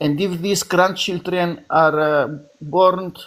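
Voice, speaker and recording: A man with a Greek Cypriot accent speaks at a high pitch. His pace is very slow. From Cyprus. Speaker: debate participant. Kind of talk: debate. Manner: halting.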